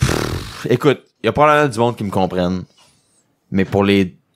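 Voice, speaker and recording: A man with a Quebec accent speaks at a moderate pace and a fairly low pitch. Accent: Québécois. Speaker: magician. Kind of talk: podcast interview. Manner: casual, repetitive stammering.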